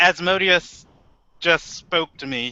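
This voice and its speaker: A man's high-pitched put-on character voice. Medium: actual play.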